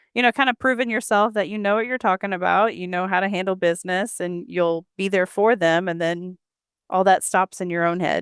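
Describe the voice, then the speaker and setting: Her voice is a plain, everyday voice, and this woman speaks at a fairly quick pace with a medium pitch and ordinary pitch variation. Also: dry, close sound with no echo, very clean recording, silent background. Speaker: associate financial advisor. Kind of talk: interview podcast.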